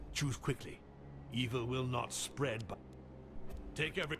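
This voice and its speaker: Background noise is clearly audible as a man does a put-on character voice. He holds a medium pitch and a moderate pace. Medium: machinima. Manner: commanding, impatient.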